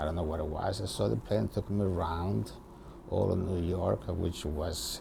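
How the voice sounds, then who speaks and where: Amid noticeable background noise, a man with an Italian accent talks at a moderate pace in a very deep, low, warm voice with ordinary pitch variation. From Italy. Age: 70s. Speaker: retired barber, immigrant. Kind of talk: interview. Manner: halting.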